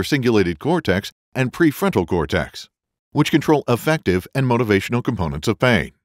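Over background music, a man with a medium pitch and a confident tone speaks at a moderate pace with very wide pitch swings, the sound dry and close with no echo. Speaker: voice actor. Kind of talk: e-learning narration. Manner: friendly, professional; confident, communicative.

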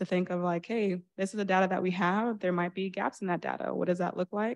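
A woman speaks in a New York accent with a fairly low pitch. Her intonation is monotone and flat, and the background is quiet. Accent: New York area American. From New Rochelle, New York. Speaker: school board candidate, education consultant; candidate. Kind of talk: candidate forum speech. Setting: stage with audience. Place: stage.

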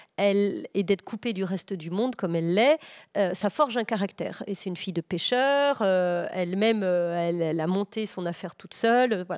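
In a quiet background, a woman talks at a fairly quick pace with ordinary pitch variation. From Burgundy, France (Morvan); Burgundy, France. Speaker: novelist; guest. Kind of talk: interview answer. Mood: calm, thoughtful. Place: studio. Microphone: handheld.

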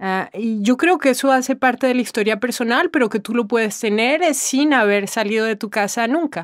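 Hardly pausing, a woman talks at a moderate pace in a high voice with ordinary pitch variation. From Colombia, after childhood moving through Latin America. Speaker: interviewee in a textbook listening exercise. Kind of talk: personal testimony answer. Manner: hesitant, with fillers and repetitions.

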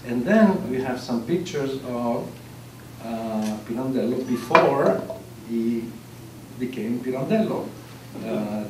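A man's voice carries audible room echo, with noticeable noise in the background. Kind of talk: lecture. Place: hall. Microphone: camera far.

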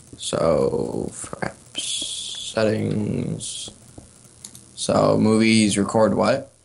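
Against noticeable background noise, a man speaks very slowly. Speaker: gamer. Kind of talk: gameplay commentary.

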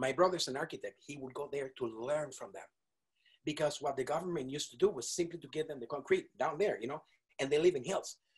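Against a quiet background, a man with a fairly high pitch speaks at a very fast pace in an animated, somewhat breathy voice, with ordinary pitch variation and big swings in loudness. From Venezuela. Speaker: multi-instrumentalist wind musician; guest. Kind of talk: interview. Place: studio. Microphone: video call.

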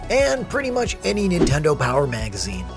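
Music plays in the background while a man speaks. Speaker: voice actor. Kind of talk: character explainer narration.

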